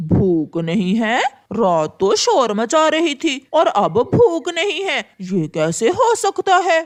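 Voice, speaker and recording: A cartoonish character voice, high-pitched, swings very widely in pitch at a fairly slow pace. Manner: grumbling, complaining.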